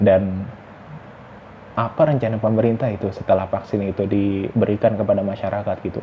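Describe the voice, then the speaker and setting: Words come fairly quickly, with intonation that stays fairly even. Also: man. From West Java, Indonesia. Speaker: vlogger. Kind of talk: casual monologue vlog. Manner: halting, self-correcting.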